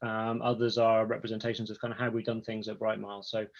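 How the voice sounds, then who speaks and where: Speaking at a very fast pace, a man talks with an English accent. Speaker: product executive. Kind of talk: webinar presentation.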